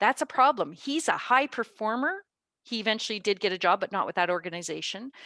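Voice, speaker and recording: A woman with a Canadian accent has a bright, sharp tone. The sound is dry and close, with no echo. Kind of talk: webinar presentation. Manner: fast.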